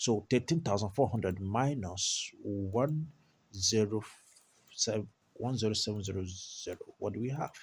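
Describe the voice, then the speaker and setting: Somewhat breathy, this voice shows ordinary pitch variation on a very clean recording with a silent background. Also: man, fairly low pitch for a man. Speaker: maths tutor. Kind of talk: tutorial. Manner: slow, deliberate.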